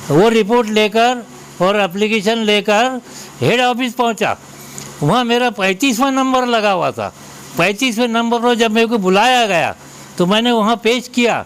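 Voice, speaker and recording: A man's extremely high voice with fairly even intonation and very even loudness, amid noticeable background noise. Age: 70s. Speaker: elderly citizen with a complaint. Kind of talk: news interview testimony.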